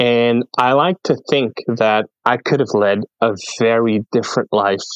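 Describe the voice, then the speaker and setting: This man talks at a fairly slow pace with a medium pitch. The pitch varies in an ordinary way, and the sound is dry and close with no echo. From French Canada. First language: French. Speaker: podcast guest, content creator. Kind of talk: casual interview chat, life story.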